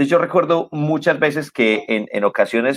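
A man talks at a fairly quick pace with lively intonation. The sound is dry and close, with no echo. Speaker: radio and TV presenter. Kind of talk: casual chat. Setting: video call.

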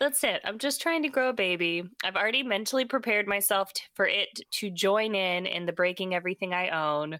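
On a very clean recording with a silent background, a woman with an unremarkable speaking voice talks at a fairly quick pace and medium pitch with lively intonation. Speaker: podcast host. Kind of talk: casual chat. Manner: joking, chatty.

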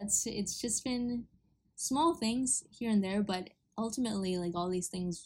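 A somewhat breathy woman at a moderate pace. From Honolulu, Hawaii. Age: 20s. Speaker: musician. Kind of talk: casual interview.

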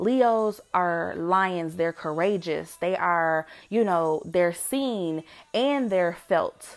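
Over a silent background in a very clean recording, a woman with lively intonation and medium pitch speaks at a very slow pace. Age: 30s. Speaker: podcast host and homeschooling parent. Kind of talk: solo voice journal monologue. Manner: casual, unscripted.

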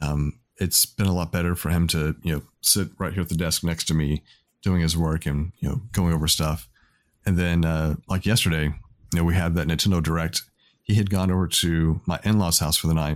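On a very clean recording with a silent background, a man speaks at a moderate pace in a very deep, low pitch, with fairly even intonation and very even loudness. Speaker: podcast host. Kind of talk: casual chat.

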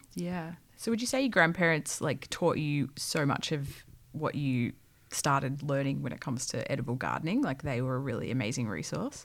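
On a very clean recording with a silent background, someone with an Australian accent speaks at a moderate pace with ordinary pitch variation. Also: woman, very deep, low pitch for a woman. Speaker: podcast co-host. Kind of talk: casual chat.

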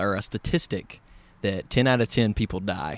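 A man speaks in a fairly low voice with a Southern US accent. The recording is very clean, with a silent background. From West Tennessee. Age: 20s. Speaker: podcast host guest. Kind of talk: casual conversation. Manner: talkative.

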